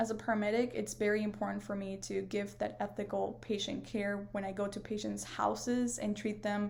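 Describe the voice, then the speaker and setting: In a Spanish accent, a woman speaks at a moderate pace. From northern Mexico, near Monterrey. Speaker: paramedic and student. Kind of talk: class video presentation. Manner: hesitant, many fillers.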